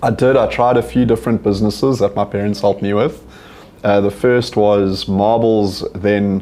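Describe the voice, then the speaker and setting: A man talks in a fairly low pitch with fairly even intonation, with noticeable background noise behind him. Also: moderate pace. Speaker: company CEO and entrepreneur. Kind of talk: interview on stage. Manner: monotone.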